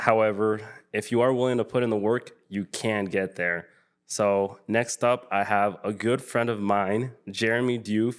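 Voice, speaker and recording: In a very clean recording with a silent background, a man speaks at a fairly slow pace and medium pitch with fairly even intonation. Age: 20s. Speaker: podcast host. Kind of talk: podcast intro and interview.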